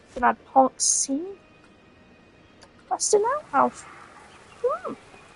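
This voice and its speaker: Over noticeable background noise, the speaker goes at a very slow pace with very wide pitch swings. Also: woman, extremely high pitch for a woman. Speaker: gaming streamer. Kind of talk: gameplay commentary. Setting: live stream. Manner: quieter than usual.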